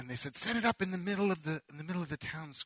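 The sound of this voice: Ordinary pitch variation across an unforced reading voice.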